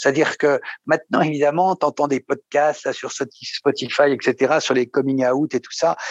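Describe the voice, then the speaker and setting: Against a quiet background, a man speaks at a fairly slow pace with fairly even intonation and big swings in loudness, the sound dry and close with no echo. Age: 60s. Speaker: psychoanalysis patient. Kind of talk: testimony. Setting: video call. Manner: halting.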